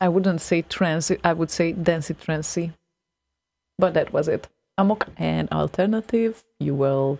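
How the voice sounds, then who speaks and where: A woman speaks at a fairly slow pace in a fairly low pitch, her tone dark and mellow, on a very clean recording with a silent background. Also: ordinary pitch variation. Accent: non-native. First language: not English. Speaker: radio host. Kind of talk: casual chat. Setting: live internet radio stream.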